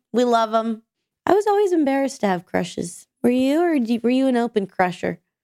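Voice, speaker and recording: A woman's high, dark and mellow voice with very wide pitch swings and very even loudness, fairly quick, in a dry, close sound with no echo. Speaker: podcast co-host. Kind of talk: casual chat. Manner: talks over partner, chatty.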